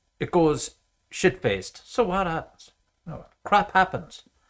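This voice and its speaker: A man's voice with vocal fry comes through in a very clean recording with a silent background. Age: 60s. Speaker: university lecturer. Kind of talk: lecture. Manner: casual, halting with repetitions.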